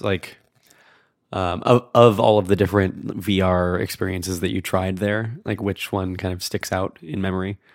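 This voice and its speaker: In a very clean recording with a silent background, a man speaks. His voice is fairly low in pitch, an unremarkable speaking voice. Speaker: podcast co-host. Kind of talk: interview conversation.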